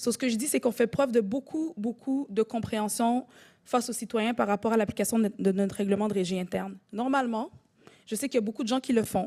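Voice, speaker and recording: Talking very fast, a woman has a fairly high pitch and a dark, mellow, somewhat breathy tone. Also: ordinary pitch variation. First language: French. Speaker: council chair. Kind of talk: chairing a council meeting. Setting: municipal council meeting.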